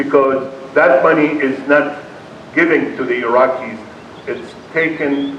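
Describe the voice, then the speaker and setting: A man speaks at a fairly slow pace with an Arabic accent and a medium pitch. Noticeable background noise and audible room echo fill the recording. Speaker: keynote speaker, peace activist. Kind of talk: keynote speech. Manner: impassioned.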